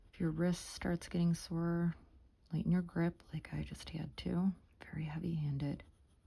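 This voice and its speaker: A woman's calm, dark, mellow voice, fairly low in pitch and somewhat breathy, with monotone, flat intonation at a moderate pace. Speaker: art tutorial creator. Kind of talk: tutorial. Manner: soft-spoken.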